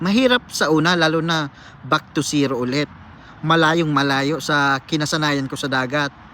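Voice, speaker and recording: A man speaks in a fairly high pitch with ordinary pitch variation. His tone comes across bright and sharp. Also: moderate pace. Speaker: cook and former seafarer vlogger. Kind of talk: vlog monologue answering a viewer comment. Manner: casual, conversational.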